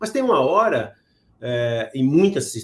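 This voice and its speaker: A man talks with a somewhat breathy voice and ordinary pitch variation. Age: 60s. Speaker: podcast host. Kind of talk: interview. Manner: halting.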